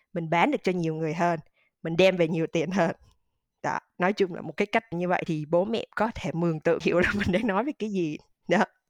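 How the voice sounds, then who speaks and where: A plain, everyday voice at a fairly quick pace with ordinary pitch variation, in a dry, close sound with no echo. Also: woman, fairly low pitch for a woman. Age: 30s. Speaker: digital marketing manager. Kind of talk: interview.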